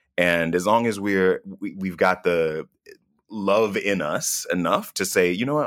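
Delivered in a normal speaking voice with an American accent, a man's fairly low-pitched speech has lively intonation and moves at a moderate pace. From US South. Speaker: travel TV host. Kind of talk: interview.

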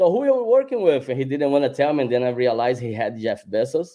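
Speech with a Brazilian accent moves at a fairly quick pace with ordinary pitch variation. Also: man. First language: Portuguese. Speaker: celebrity photographer. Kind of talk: casual podcast interview.

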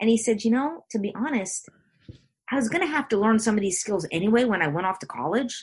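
A woman with a fairly high, somewhat breathy voice talks at a very fast pace with lively intonation. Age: 50s. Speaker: coach and speaker. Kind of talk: casual chat.

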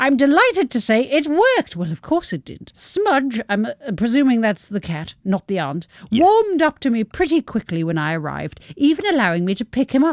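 Dry and close with no echo, a woman's high-pitched voice moves at a fairly quick pace through very wide pitch swings. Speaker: podcast co-host. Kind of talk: casual chat. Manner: animated.

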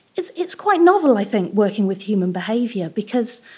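Her pitch swinging very widely, a woman with a British accent speaks in a dark, mellow tone. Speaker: psychologist. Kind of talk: storytelling. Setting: stage with audience.

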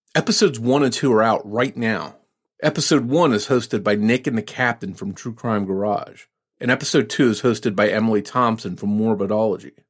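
Here is a man with an ordinary speaking voice, medium in pitch, talking at a fairly quick pace with ordinary pitch variation. The recording is very clean, with a silent background. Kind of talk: podcast promo.

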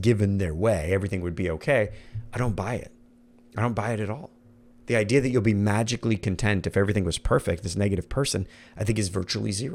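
A man talks at a very fast pace with an American accent. His pitch is fairly low and his tone is animated. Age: 40s. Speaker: podcast host and leadership coach. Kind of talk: motivational monologue.

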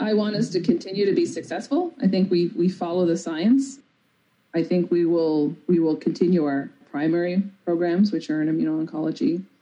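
Speaking at a fairly quick pace with a Newfoundland accent, a woman uses ordinary pitch variation. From Newfoundland, Canada (rural, near St. John's). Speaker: biotech research executive. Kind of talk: interview.

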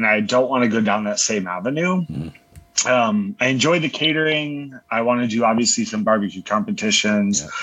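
The delivery moves at a fairly quick pace with lively intonation. Noticeable background noise runs underneath. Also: man, medium pitch for a man. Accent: American. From Florida, Orlando. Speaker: pharmacist and barbecue cook. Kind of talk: casual interview chat.

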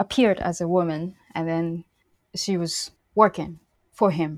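A woman with a fairly low pitch speaks in a monotone, flat intonation in a very clean recording with a silent background. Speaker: jazz violinist. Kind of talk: interview conversation.

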